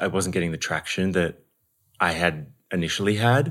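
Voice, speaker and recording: On a very clean recording with a silent background, a man with an Australian accent speaks in a very deep, low voice at a fairly slow pace with ordinary pitch variation. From Melbourne, Australia. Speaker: actor and acting coach. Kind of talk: casual interview chat. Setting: in-person, at a home.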